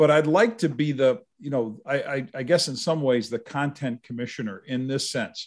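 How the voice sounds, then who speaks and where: Speaking in an ordinary speaking voice at a fairly high pitch, a man keeps a moderate pace with hardly any pauses and ordinary pitch variation over a quiet background. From Upstate New York (Utica). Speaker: retired football writer and author. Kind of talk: casual interview.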